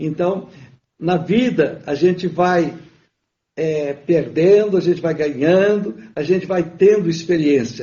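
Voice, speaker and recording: High-pitched male speech at a very slow pace, the pitch varying in an ordinary way. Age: 70s. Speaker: businessman. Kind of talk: interview. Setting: livestream.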